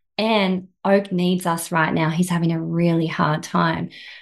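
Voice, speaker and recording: Fairly slow speech from a woman in a plain, everyday voice, fairly low in pitch and fairly even in intonation, over a quiet background. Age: 40s. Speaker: personal trainer and life coach. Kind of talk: interview.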